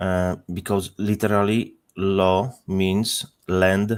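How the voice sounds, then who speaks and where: Very slowly and in a monotone, flat intonation, a man speaks with a Polish accent at a fairly low pitch. The recording is very clean with a silent background. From Poland. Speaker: panel participant. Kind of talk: panel discussion.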